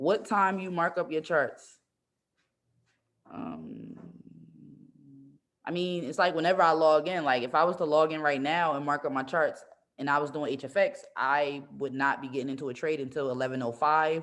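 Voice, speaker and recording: Long, frequent pauses break up this woman's speech. Her pitch is very deep and low, with ordinary variation. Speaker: trading educator. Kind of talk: live-streamed tutorial. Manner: fast; casual.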